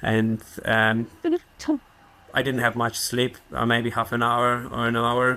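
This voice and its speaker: With a Polish accent, a man of medium pitch speaks very slowly in a flat monotone at very even loudness, leaving long, frequent pauses over noticeable background noise. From Poland. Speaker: park ranger and trail runner. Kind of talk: podcast interview answer. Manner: understated, humble.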